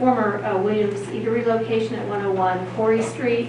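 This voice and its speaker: A woman talks at a fairly slow pace. Noticeable background noise and audible room echo come through. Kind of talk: meeting presentation. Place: meeting room.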